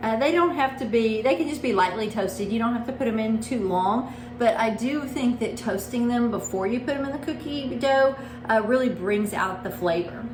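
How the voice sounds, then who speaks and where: Speaking at a moderate pace in a Texas accent, a woman with a fairly high voice uses ordinary pitch variation, with audible room echo and noticeable background noise. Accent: Texas twang. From Texas, small town. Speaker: home baker and blogger. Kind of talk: cooking tutorial. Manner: casual, conversational.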